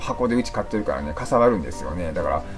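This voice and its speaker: A man speaks in an Osaka accent with clear music in the background. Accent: Kansai (Osaka dialect). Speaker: leukemia patient. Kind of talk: casual talk to camera. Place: home room. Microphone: phone near.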